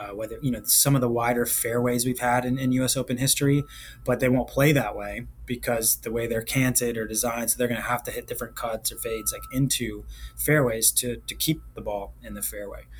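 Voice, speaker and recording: A man with an American accent talks at a fairly quick pace against noticeable background noise. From Virginia. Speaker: golf championship director. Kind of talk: podcast interview.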